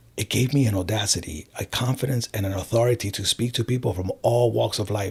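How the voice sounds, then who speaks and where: An American-accented man speaks at a moderate pace and medium pitch, somewhat breathy. His pitch varies in an ordinary way on a very clean recording with a silent background. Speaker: life coach. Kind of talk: interview.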